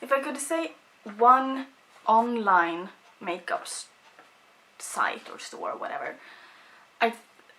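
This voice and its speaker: A high-pitched woman in a Swedish accent, very wide pitch swings, big swings in loudness, long and frequent pauses, and a very slow pace. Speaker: beauty vlogger. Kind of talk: casual chat.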